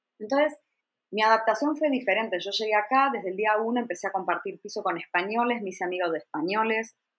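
With ordinary pitch variation, what comes through is a plain, everyday voice. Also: woman. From Argentina. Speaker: travel blogger and journalist. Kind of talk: interview.

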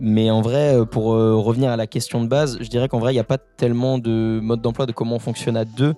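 Speaking at a fairly quick pace with hardly any pauses, a man uses a medium-pitched, dark, mellow tone and monotone, flat intonation. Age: 20s. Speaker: rapper. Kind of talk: casual chat.

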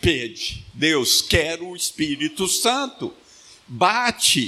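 A man talks at a very slow pace in a high voice. His pitch swings very widely. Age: 70s. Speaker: pastor. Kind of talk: sermon. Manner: animated.

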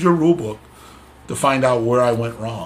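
Somewhat breathy speech with an American accent at a fairly quick pace, with very wide pitch swings. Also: man. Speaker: wrestling official and assigner; podcast host. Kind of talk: casual interview chat.

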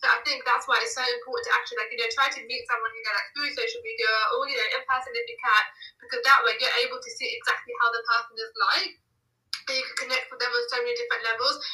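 A woman with a southern England accent at a very fast pace, with big swings in loudness. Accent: British English, southern England. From England, near London. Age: 20s. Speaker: self-care blogger and employment advisor. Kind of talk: casual interview chat.

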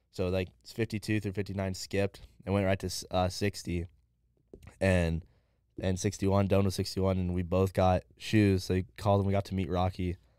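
A man with an American accent speaks in a very deep, low, dark, mellow voice with monotone, flat intonation. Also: moderate pace, very clean recording, silent background. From Southern California. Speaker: podcast co-host. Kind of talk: casual chat. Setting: studio.

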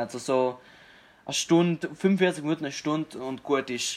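At a moderate pace, a man with a plain, everyday voice speaks in a fairly high pitch with ordinary pitch variation. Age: 20s. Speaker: fitness enthusiast and aspiring comedian. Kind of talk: casual chat. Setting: video call.

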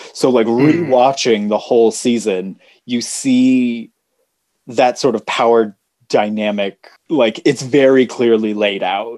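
Using a normal speaking voice, a man with an American accent talks at a fairly slow pace. His pitch is medium and his intonation fairly even. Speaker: podcast co-host. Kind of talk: casual chat.

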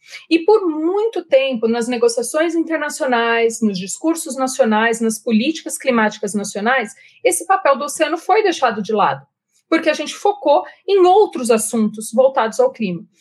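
At a moderate pace, a woman with a São Paulo interior accent speaks in a high pitch with very wide pitch swings. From Jundiaí, interior of São Paulo, Brazil. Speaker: marine scientist. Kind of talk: interview.

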